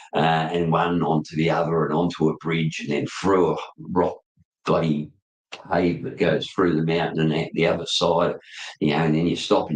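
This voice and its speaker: An Australian accent at a moderate pace. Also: man. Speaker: motorcycle podcast host. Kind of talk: casual chat. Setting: live video stream. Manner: animated.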